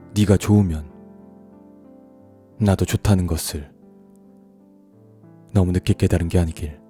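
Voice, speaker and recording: Fairly slow pace and a calm tone, ordinary pitch variation, music in the background, and a dry, close sound with no echo. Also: man. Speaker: audiobook narrator. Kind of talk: audiobook reading. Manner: soft, slow, calm.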